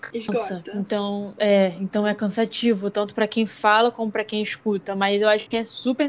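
A woman's flat, monotone delivery at a fairly slow pace. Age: young. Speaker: podcast co-host, student. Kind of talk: casual chat.

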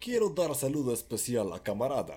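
This man's dark, mellow tone carries vocal fry and very wide pitch swings. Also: very clean recording, silent background. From Mexico. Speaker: podcast co-host. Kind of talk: casual chat. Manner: loud.

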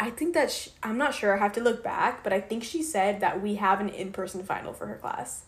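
A woman's medium-pitched, somewhat breathy voice with lively intonation, at a fairly quick pace and with hardly any pauses. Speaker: college student podcast co-host. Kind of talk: casual chat.

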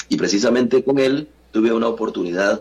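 A man talks fairly quickly while noticeable noise sounds in the background. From Costa Rica, San José. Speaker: journalist. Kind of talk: interview.

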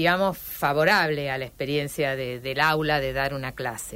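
On a very clean recording with a silent background, a woman with a Rosario accent speaks at a fairly slow pace. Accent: Rosario Argentine Spanish. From Rosario, Argentina. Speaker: historian and university teacher. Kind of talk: radio interview. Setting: radio studio.

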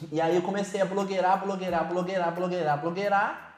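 The talking goes at a fairly quick pace, with noticeable noise in the background. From Brazil, Hortolândia (São Paulo state). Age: 20s. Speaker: entrepreneur, motorcycle dealer. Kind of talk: casual interview.

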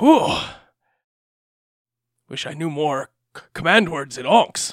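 Pitched in the middle range, a put-on character voice moves along at a fairly slow pace. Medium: actual play. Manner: lazy, whiny, comic.

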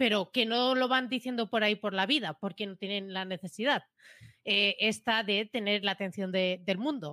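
A woman speaks at a moderate pace in a medium pitch with a bright, sharp tone and ordinary pitch variation. The recording is very clean with a silent background, and the sound is dry and close with no echo. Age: 20s. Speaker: podcast co-host, marketing automation specialist. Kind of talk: casual chat.

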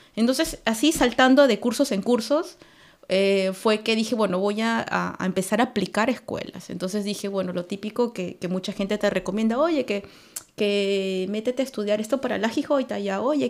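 A woman with an ordinary speaking voice talks at a moderate pace, fairly high in pitch, with ordinary pitch variation. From Peru, Lima. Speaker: immigrant community organizer. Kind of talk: casual chat.

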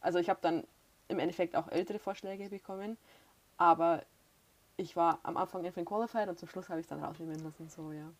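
With fairly even intonation and a fairly low pitch, a woman speaks at a very fast pace on a very clean recording with a silent background. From Bavaria. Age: 20s. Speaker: former au pair, student teacher. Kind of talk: casual interview.

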